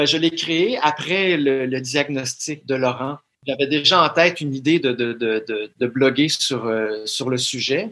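A man's medium-pitched voice with a Quebec accent, bright and sharp in tone, ordinary pitch variation, and a fairly slow pace. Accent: Québécois French. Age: 40s. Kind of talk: interview. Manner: halting, frequent word repetitions.

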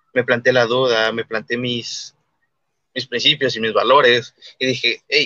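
A man talks at a moderate pace. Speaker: libertarian commentator. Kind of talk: casual interview.

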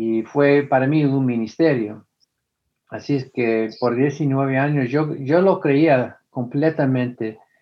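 A man speaks with an American accent at a very slow pace. His pitch is medium, with ordinary variation. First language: English (speaking Spanish). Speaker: former preacher, atheist activist. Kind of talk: interview. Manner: halting.

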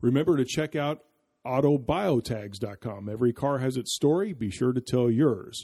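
Over a quiet background, a man speaks at a medium pitch in a dark, mellow tone. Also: lively intonation, moderate pace, dry, close sound with no echo. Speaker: podcast host. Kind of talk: casual interview chat.

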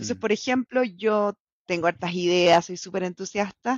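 Her pitch sits in the medium range for a woman. She speaks at a moderate pace with lively intonation. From Chile (La Serena), born in Bolivia. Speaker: salmon industry scientist turned commercial professional. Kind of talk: casual interview. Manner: animated.

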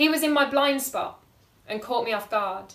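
A woman with a normal speaking voice, ordinary pitch variation and a moderate pace. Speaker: performance poet. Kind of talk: poem performed, spoken-word slam style with rhyme, delivered with dramatic emphasis. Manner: intense, emotive, rhythmic, pointed and vivid.

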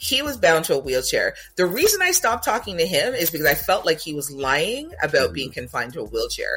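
With music in the background, a man talks at a very fast pace with hardly any pauses. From Jamaica. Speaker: podcast host. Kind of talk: casual chat.

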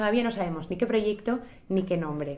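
There is audible room echo as a woman with a dark, mellow tone and medium pitch speaks at a fairly quick pace. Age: 20s. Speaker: singer and charity organizer. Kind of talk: interview conversation.

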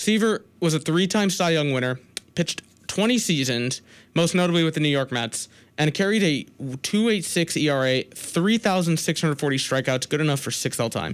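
Lively intonation marks this man's unremarkable speaking voice. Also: fairly high pitch for a man. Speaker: college radio sports host. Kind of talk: college radio sports talk, opinionated rant then show sign-off. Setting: college radio studio, co-host six feet apart. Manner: heated, rapid, self-interrupting, stumbling over restarts and false starts; indignant, sarcastic, pushing his opinions.

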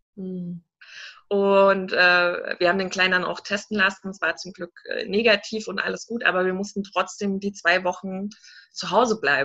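A woman at medium pitch, in an unremarkable speaking voice, keeps a fairly even intonation while her loudness swings widely. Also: moderate pace. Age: 30s. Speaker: entrepreneur and mentor. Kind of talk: interview.

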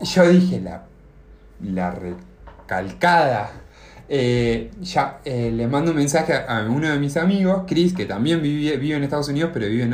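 With lively intonation and a somewhat breathy quality, the speaker moves at a moderate pace amid audible room echo. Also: man. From Argentina. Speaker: podcast co-host. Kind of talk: casual chat, telling an anecdote. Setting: video call.

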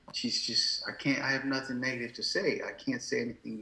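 A man speaks over noticeable background noise. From Nigeria, Ibadan, then London. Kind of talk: casual interview chat.

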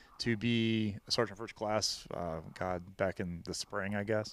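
A man with a Midwestern American accent, fairly low in pitch and fairly slow, on a very clean recording with a silent background. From Missouri, Hillsboro near St. Louis. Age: 30s. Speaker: army veteran. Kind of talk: casual interview chat.

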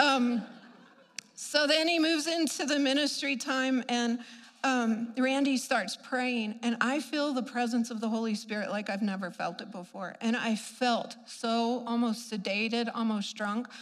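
A woman's fairly high-pitched voice at a fairly slow pace, with audible room echo. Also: ordinary pitch variation. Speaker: preacher. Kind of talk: sermon. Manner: animated.

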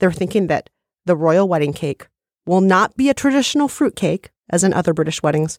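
A woman at a medium pitch with an American accent, in a dry, close sound with no echo. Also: very clean recording, silent background. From United States. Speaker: podcast co-host. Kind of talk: casual chat. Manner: animated.

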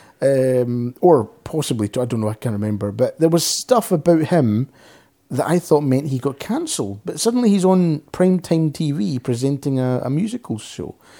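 On a very clean recording with a silent background, a man with a Scottish accent speaks at a moderate pace in a fairly high voice, with a dark, mellow tone and lively intonation. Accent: Scottish, softer but noticeable. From Scotland. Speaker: podcast co-host. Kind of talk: casual chat.

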